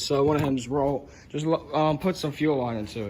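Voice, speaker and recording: Noticeable background noise hums throughout. Over it, a man talks with ordinary pitch variation. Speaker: lawn tractor owner, home mechanic. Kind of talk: casual talk to camera. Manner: stuttering.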